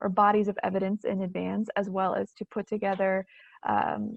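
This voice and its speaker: The woman's voice sits at a medium pitch. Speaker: education researcher presenting webinar. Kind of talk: webinar lecture. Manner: halting, many fillers.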